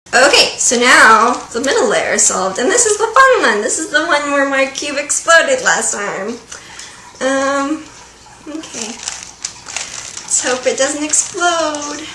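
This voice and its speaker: The speech moves at a fairly slow pace with long, frequent pauses amid noticeable background noise. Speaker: vlogger. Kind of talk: casual tutorial vlog. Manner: mumbling.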